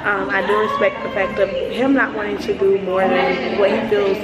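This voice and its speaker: A woman keeps a moderate pace as loud background noise fills the recording. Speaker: vlogger. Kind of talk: casual vlog chat. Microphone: phone near.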